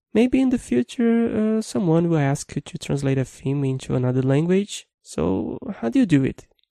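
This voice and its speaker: With a Brazilian accent, a man talks at a moderate pace in a dark, mellow tone with lively intonation. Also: dry, close sound with no echo. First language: Brazilian Portuguese. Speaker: programming instructor. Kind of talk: tutorial.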